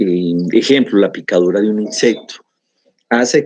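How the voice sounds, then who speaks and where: Medium-pitched man's voice with a dark, mellow tone and lively intonation. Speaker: pathology lecturer. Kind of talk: lecture.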